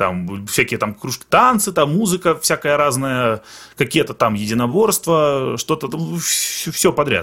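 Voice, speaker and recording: Vocal fry and very wide pitch swings mark this man's fairly high voice. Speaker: Russian emigrant in Finland. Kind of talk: casual chat. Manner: halting.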